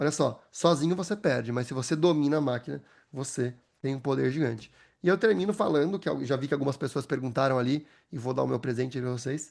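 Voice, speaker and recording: A man talks at a fairly quick pace. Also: quiet background. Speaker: AI consultant and speaker. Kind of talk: webinar presentation. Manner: fast.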